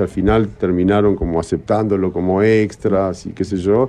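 Music plays behind a man speaking. His pitch is fairly low and his intonation fairly even. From Uruguay, Cerro of Montevideo. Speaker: film director. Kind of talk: casual interview chat.

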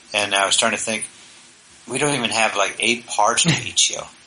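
Over noticeable background noise, a man speaks at a moderate pace. His pitch is medium and his intonation fairly even. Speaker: podcast host. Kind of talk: casual chat.

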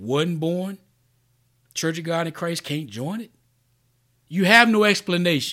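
In a very clean recording with a silent background, a man speaks fairly slowly in a fairly high voice with lively intonation. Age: 40s. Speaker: podcast host. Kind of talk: solo monologue. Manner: casual, free-flowing.

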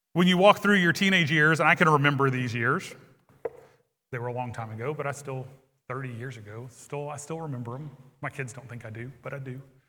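Against audible room echo, a man speaks at a fairly quick pace in a bright, sharp tone, fairly high in pitch, with ordinary pitch variation and big swings in loudness. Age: 40s. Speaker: pastor. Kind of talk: sermon. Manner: hesitant fillers.

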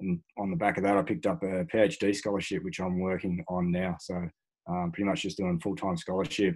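A man's very deep, low voice in an Australian accent, at a fairly quick pace with ordinary pitch variation. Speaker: special forces veteran and performance researcher. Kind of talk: interview conversation.

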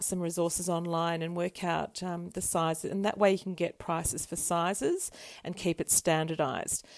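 Delivered at a moderate pace in a monotone with flat intonation, the recording is very clean with a silent background. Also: woman. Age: 50s. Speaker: co-host, painter and ceramicist. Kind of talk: casual chat.

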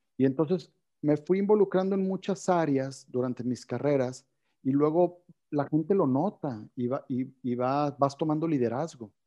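Speaking fairly slowly in a normal speaking voice, a man talks with a fairly high pitch. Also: ordinary pitch variation. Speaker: company CEO. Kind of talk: interview. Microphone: connection cutting out.

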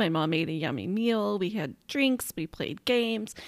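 A woman speaks at a medium pitch with very wide pitch swings and vocal fry, recorded very cleanly against a silent background. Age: 40s. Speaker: podcast host. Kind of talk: casual personal storytelling monologue.

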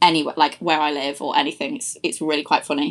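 Music playing behind a woman's fairly quick speech. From Lincolnshire, England (Louth). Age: 20s. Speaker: podcast host. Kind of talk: casual monologue.

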